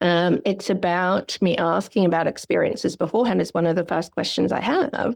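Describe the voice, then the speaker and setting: The voice carries vocal fry and comes with an Australian accent. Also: woman. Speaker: psychologist. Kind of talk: podcast interview. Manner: fast; animated.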